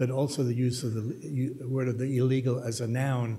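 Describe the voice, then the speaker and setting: A man with an American accent, somewhat breathy and medium in pitch, with a dark, mellow tone, monotone, flat intonation, a moderate pace and audible room echo. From Germany, then US. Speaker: journalist and author. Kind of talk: panel discussion talk. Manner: halting, many fillers. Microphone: slight echo in room.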